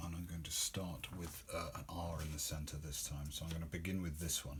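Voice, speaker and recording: A man's mumbling, very fast speech, monotone and flat, at a very deep, low pitch, somewhat breathy, with audible room echo. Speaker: occult teacher. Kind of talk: tutorial. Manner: halting.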